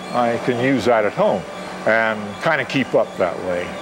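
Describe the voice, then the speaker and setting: Noticeable background noise is present. Words come at a fairly slow pace. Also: man. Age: 70s. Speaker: retired navy officer and masters track athlete. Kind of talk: interview. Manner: halting.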